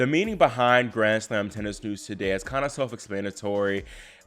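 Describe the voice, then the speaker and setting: Speaking with an American accent, a man uses a normal speaking voice at a fairly low pitch and a fairly quick pace. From Virginia, US. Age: 20s. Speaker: tennis YouTuber, college student. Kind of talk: casual vlog talk to camera.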